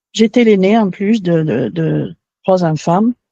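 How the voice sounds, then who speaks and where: A woman with a dark, mellow tone speaks at a very slow pace with ordinary pitch variation in a dry, close sound with no echo. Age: 70s. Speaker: interviewee giving testimony. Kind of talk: testimony. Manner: halting.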